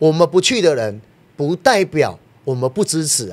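A man speaks at a moderate pace in an animated tone. His intonation is lively. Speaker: political party member. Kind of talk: political talk show discussion.

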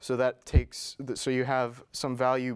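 A man speaks at a fairly slow pace. The background is quiet. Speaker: presenter at tech meetup. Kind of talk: presentation. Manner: halting. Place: meeting room. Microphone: lapel.

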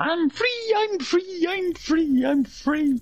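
Very slowly, the speaker performs a put-on character voice at an extremely high pitch. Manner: imitation.

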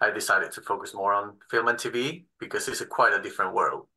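A man with a Spanish accent against a quiet background. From Spain. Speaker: assistant film editor. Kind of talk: panel discussion. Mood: relaxed, friendly. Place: home room. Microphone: video call.

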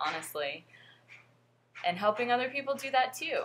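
A woman's bright, sharp voice with lively intonation over light background noise. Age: 20s. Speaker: vlogger and fitness coach. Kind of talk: casual vlog monologue. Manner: hesitant with frequent fillers. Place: home room. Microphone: webcam.

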